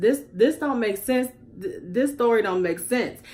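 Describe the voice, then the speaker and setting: A woman with a fairly high voice speaks in an animated tone. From US Midwest, Chicago. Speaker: YouTube commentary vlogger. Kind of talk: casual commentary vlog.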